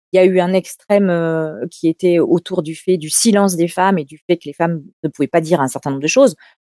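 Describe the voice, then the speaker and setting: Delivered at a fairly quick pace, the voice has a dark, mellow tone, ordinary pitch variation and big swings in loudness, with a dry, close sound and no echo. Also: woman, fairly low pitch for a woman. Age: 50s. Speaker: public speaking coach and agency head. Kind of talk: interview. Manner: hesitant, many fillers and repetitions.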